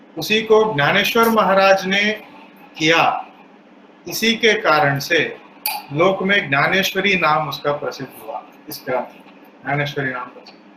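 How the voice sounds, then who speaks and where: A man's high pitch and lively intonation against noticeable background noise. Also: long, frequent pauses, big swings in loudness. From South India. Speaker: spiritual speaker. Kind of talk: religious discourse.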